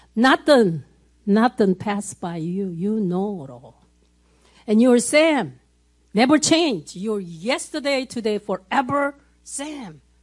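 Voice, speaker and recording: Speaking at a very slow pace, a woman uses a fairly high pitch with very wide pitch swings and big swings in loudness. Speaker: church prayer leader. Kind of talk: spontaneous prayer. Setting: church.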